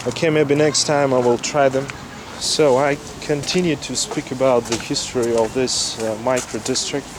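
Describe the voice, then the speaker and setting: At a moderate pace, a man with a medium pitch speaks with fairly even intonation. Noticeable background noise runs underneath. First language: Russian. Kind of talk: casual walking-tour talk to camera. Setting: outdoors.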